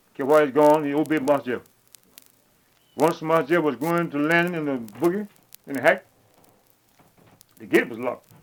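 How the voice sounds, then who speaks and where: With a Mississippi accent, a man speaks at a moderate pace in a fairly high voice, using ordinary pitch variation and taking long, frequent pauses. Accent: Southern US, Mississippi. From Mississippi, US. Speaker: former slave. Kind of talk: archival oral history interview.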